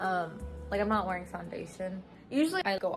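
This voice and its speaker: With music in the background, a woman with an American accent talks at a medium pitch and a fairly quick pace. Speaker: travel vlogger. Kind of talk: casual vlog talk to camera. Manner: casual, filler-heavy (like, um).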